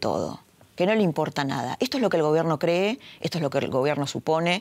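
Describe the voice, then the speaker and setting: A woman speaks in a fairly low pitch with very wide pitch swings. The sound is dry and close with no echo, on a very clean recording with a silent background. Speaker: TV political journalist and host. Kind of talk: editorial monologue.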